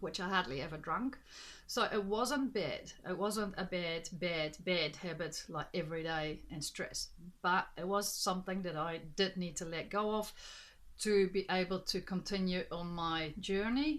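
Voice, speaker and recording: With ordinary pitch variation, an unremarkable speaking voice proceeds fairly slowly. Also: woman, medium pitch for a woman. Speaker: life coach and energy healer. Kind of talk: vlog monologue.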